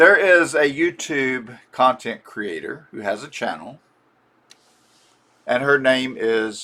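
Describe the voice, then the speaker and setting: A man's fairly high-pitched voice with a bright, sharp tone. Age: 70s. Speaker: YouTube doll collector. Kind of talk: personal reflection monologue. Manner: slow; halting, repeats words.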